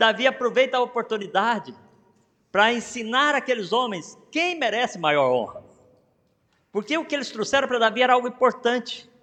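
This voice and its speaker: Pausing long and often, a man speaks at a moderate pace in a raised, projected voice of extremely high pitch with ordinary pitch variation. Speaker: pastor. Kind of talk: sermon. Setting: church.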